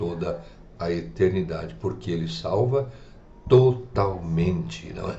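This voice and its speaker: In a room with audible echo, a man speaks very slowly in a very deep, low voice. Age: 70s. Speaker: preacher. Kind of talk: radio sermon.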